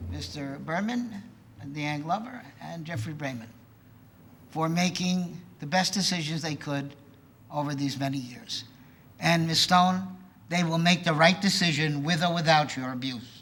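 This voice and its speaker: Audible room echo surrounds a man speaking at a moderate pace in a fairly high pitch, with ordinary pitch variation and long, frequent pauses. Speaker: resident speaking at public comment. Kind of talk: public comment at village board meeting. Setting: village board meeting.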